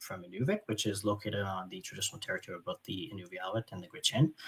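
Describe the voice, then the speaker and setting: A man speaks at a fairly low pitch with a Franco-Ontarian accent. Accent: Franco-Ontarian Canadian English. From northern Ontario, francophone small town. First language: French. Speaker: doctor and surgeon. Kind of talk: keynote lecture. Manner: halting, many fillers.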